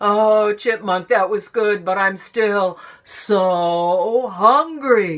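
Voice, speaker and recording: The put-on character voice unfolds at a very slow pace. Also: woman, medium pitch for a woman. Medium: read story. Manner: slow, plaintive.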